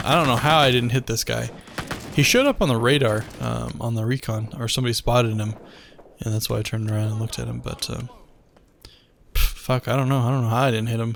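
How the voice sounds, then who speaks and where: Talking at a very fast pace yet leaving long, frequent pauses, a man keeps fairly even intonation against noticeable background noise. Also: medium pitch for a man. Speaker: gaming commentator. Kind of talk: gameplay commentary. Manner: monotone; casual, relaxed.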